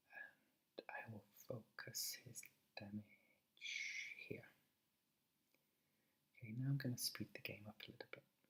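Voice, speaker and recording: A man whispers, soft-spoken, at a very slow pace. He leaves long, frequent pauses. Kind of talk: ASMR let's play commentary. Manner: half-whispered, soft-spoken.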